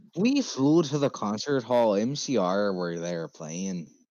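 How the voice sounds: A natural reading voice carries the passage.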